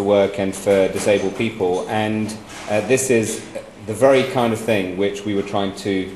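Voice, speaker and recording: Light background noise and an audible room echo accompany a man speaking at a moderate pace in a fairly low pitch. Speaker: guest, former minister. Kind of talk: speech to an audience. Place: hall. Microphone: handheld.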